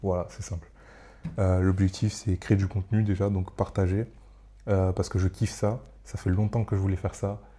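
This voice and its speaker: Very deep, low male voice, dark and mellow, somewhat breathy and monotone, at a fairly slow pace, in a very clean recording with a silent background. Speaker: solo podcaster / content creator. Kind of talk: casual monologue. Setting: at home at night. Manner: rambling, hesitant with many fillers. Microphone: close microphone.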